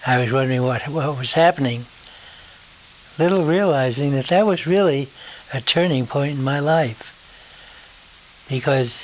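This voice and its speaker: This man's voice sits fairly high and moves at a moderate pace. His pitch varies in an ordinary way, with noticeable background noise behind him. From northern New Jersey. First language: German. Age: 90s. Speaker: retired radio station owner. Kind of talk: life story interview. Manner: halting.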